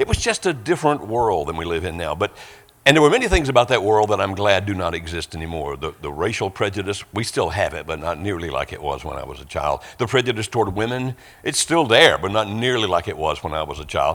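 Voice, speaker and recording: On a very clean recording with a silent background, a man with a fairly low pitch races at a very fast pace through very wide pitch swings. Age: 60s. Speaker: guest preacher. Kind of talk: sermon.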